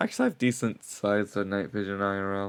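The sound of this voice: A man talks at a fast pace with a fairly low pitch. His tone is clear and smooth, his intonation fairly even.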